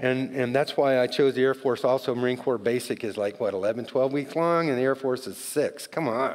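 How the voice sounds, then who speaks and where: A man with an American accent speaks in fairly even intonation. There is noticeable background noise. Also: medium pitch for a man, moderate pace. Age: 60s. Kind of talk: testimony. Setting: church.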